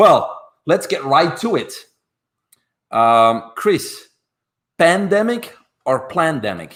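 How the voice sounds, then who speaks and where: A very slow pace with long, frequent pauses. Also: man. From Belgium. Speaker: podcast host and masters swimmer. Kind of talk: casual discussion. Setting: livestream.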